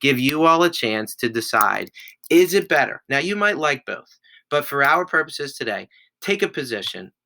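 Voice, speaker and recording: A man with a fairly high pitch, a bright, sharp tone, lively intonation and a moderate pace. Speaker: schoolteacher. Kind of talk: remote class instructions.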